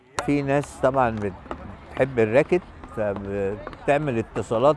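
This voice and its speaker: A man talks with lively intonation while noticeable background noise continues behind him. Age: 70s. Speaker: veteran beach racket player. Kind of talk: documentary interview.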